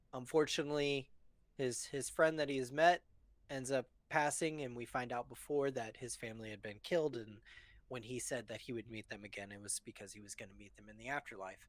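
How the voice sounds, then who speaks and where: Mumbling at a fairly quick pace, a man shows ordinary pitch variation and big swings in loudness. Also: medium pitch for a man. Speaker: movie discussion podcast co-host. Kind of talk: casual chat on live stream. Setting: live stream. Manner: mumbles easily, over-enunciates; adds extra sounds to words.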